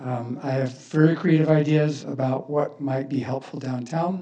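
Fairly high in pitch, a man talks with fairly even intonation in a normal speaking voice. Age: 60s. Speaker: business owner speaking at public comment. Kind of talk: public comment at city council meeting. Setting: city council chamber.

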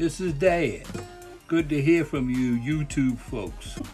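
Music plays in the background as a man speaks. His pitch is fairly high and his pace very slow. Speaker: father of the host, guest. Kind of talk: unscripted voiceover banter. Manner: playful, rambling.

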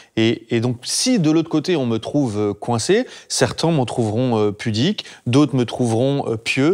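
At a fairly slow pace, a man speaks in a medium-pitched voice with ordinary pitch variation over a quiet background. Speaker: actor. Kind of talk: casual chat; group discussion, personal opinion. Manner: halting. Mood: earnest, reflective. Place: home room. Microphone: lapel.

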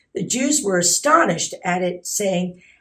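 Over a quiet background, a woman with a somewhat breathy voice talks at a moderate pace with lively intonation. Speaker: scripture reader. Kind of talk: scripture reading. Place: church.

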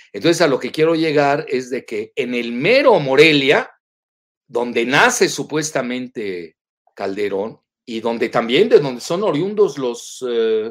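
Lively intonation marks this man's fairly slow speech. His pitch is fairly high, and his is an unremarkable speaking voice. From Mexico, Yucatán. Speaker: political analyst. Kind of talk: interview.

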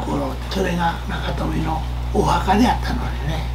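With a Kansai accent, a man talks in a very deep, low pitch over noticeable background noise. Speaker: elderly local storyteller. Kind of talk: oral history telling to interviewer. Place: home room.

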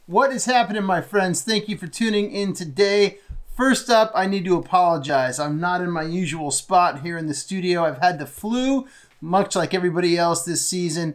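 Over a quiet background, a man with a high pitch and ordinary pitch variation speaks at a moderate pace. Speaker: podcast gear youtuber. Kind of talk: casual vlog chat. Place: home room.

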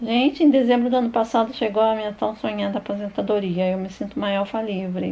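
A somewhat breathy, dark, mellow voice at a fairly quick pace against a quiet background. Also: woman. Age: 50s. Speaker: YouTuber, retired veterinarian. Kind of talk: personal life story narrated over photos.

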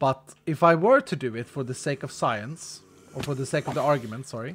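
Light background noise sits behind a man with a Swedish accent. He speaks at a fairly quick pace with ordinary pitch variation. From Sweden. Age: 40s. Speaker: gaming streamer. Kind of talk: live stream chat while gaming. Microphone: studio mic.

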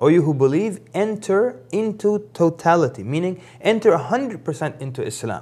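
A man's dark, mellow voice, high in pitch for a man, with very wide pitch swings at a moderate pace. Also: hardly any pauses. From grew up around the world, lived in Africa before the US. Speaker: Islamic preacher. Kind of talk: religious talk show interview. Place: studio. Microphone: lapel.

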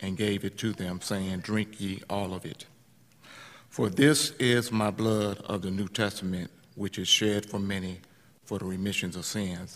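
A man talks at a fairly slow pace. His pitch is fairly low, with ordinary variation. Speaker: communion leader. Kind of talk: prayer. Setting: church. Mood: solemn, measured. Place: church. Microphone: podium.

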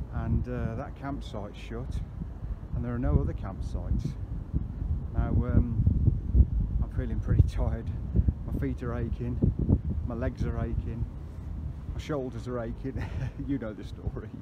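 Over loud background noise, a man speaks at a moderate pace with long, frequent pauses, and the sound is dry with no echo. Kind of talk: casual vlog chat. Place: open country. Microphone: phone near.

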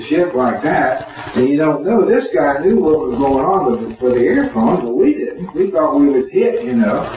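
Audible room echo and light background noise surround a man of fairly high pitch talking at a moderate pace. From Florida. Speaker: war veteran. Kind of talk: interview answer. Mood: emotional, reliving fear. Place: home room. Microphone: camera far.

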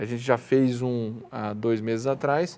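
Dark and mellow in tone, a man's voice keeps a fairly even intonation. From Brazil. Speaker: co-founder of rural marketplace website, farmer; interview guest. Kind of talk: TV interview. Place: studio. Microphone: lapel.

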